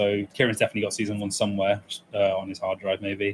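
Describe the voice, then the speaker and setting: A fairly quick delivery in an English accent. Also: man. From England, East Midlands (military family, partly raised in Germany). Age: 20s. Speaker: speedrunner. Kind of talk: casual interview chat.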